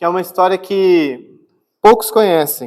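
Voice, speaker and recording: A man's voice, high in pitch. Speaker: pastor. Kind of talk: sermon. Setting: church. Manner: soft-spoken; calm, not energetic.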